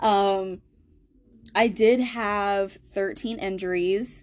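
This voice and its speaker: A woman with a Southern US accent, medium pitch, and a quiet background. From US South. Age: 20s. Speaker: podcast host. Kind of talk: casual personal storytelling monologue. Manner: hesitant, many fillers.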